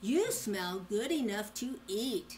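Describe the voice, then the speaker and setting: A woman puts on a character voice, fairly high in pitch, with lively intonation. Clear background noise can be heard. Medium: read story.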